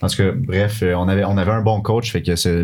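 A man's moderate-paced speech carries a monotone, flat intonation. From Quebec City. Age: 20s. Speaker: university soccer player. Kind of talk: casual chat.

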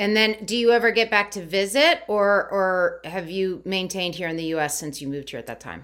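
A woman with a medium-pitched, unremarkable speaking voice talks at a fairly quick pace with lively intonation and hardly any pauses. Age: 50s. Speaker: podcast host. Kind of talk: interview conversation.

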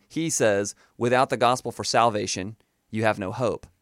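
At a fairly quick pace, a man with a Southern US accent speaks in a dry, close sound with no echo, in a very clean recording with a silent background. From US South, Florida Panhandle. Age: 20s. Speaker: former fundamentalist Baptist, preacher's kid. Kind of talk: interview testimony. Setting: radio studio.

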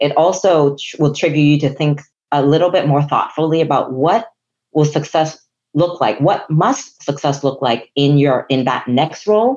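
With a Chinese accent, a woman talks at a moderate pace in a very deep, low pitch, using ordinary pitch variation. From Hong Kong. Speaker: chief human resources officer. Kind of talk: professional interview conversation.

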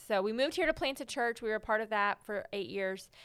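A woman with a Texas accent speaks at a fairly quick pace and a medium pitch, with ordinary pitch variation. The recording is very clean, with a silent background. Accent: Southern US (Texas). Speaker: Bible teacher and writer. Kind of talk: casual interview about faith.

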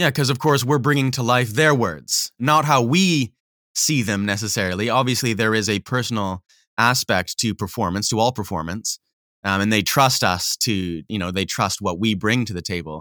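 Lively intonation and a bright, sharp tone, with a slight Canadian accent at a moderate pace. The sound is dry and close with no echo, on a very clean recording over a silent background. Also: man, medium pitch for a man. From Canadian Prairies (Manitoba). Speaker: audiobook narrator. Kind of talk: interview.

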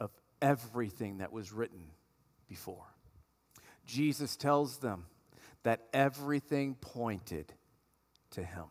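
A man's animated, lively-intoned voice at medium pitch, delivered at a fairly slow pace. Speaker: pastor. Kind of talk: sermon. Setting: church. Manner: animated, emphatic preacher delivery with repeated phrases for emphasis.

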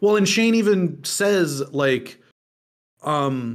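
A man is speaking. His intonation is lively. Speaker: podcast co-host. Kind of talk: casual chat. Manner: animated.

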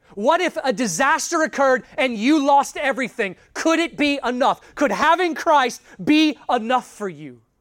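On a very clean recording with a silent background, a man talks with hardly any pauses. His extremely high pitch moves with lively intonation. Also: moderate pace. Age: 30s. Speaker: pastor. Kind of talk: sermon.

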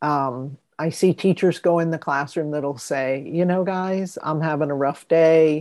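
Her very deep, low pitch and dark, mellow tone come through at a fairly slow pace, with fairly even intonation and hardly any pauses from this woman. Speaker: podcast host. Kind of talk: casual interview.

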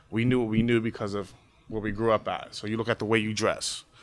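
At a very fast pace, a man with a medium pitch speaks in an American accent. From Pittsburgh area, Pennsylvania (Braddock). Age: 20s. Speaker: teacher. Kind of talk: oral history interview.

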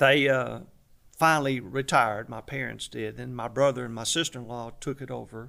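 Speaking with a Southern US accent, a man with a bright, sharp tone talks at a moderate pace and medium pitch, his loudness swinging widely. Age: 70s. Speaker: barbecue restaurant owner. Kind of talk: interview.

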